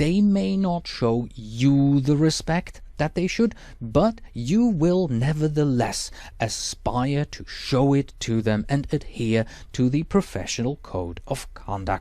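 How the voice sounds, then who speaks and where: On a very clean recording with a silent background, a man with a Swiss German accent and a dark, mellow tone speaks very slowly at a fairly high pitch that swings very widely. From Switzerland. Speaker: exam prep instructor. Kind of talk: lecture.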